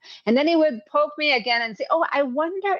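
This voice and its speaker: A woman speaks with a French-Canadian accent. Her intonation is lively. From Quebec. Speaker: executive coach and hypnotherapist. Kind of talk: interview conversation. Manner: halting, many fillers.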